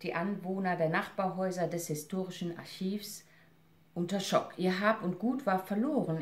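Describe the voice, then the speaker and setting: Her tone solemn, a woman talks at a fairly slow pace. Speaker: actress and reader. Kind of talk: literary audiobook reading, essay read aloud. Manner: measured, solemn, expressive reading with emotional weight. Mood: serious, reflective. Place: home room. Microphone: camera far.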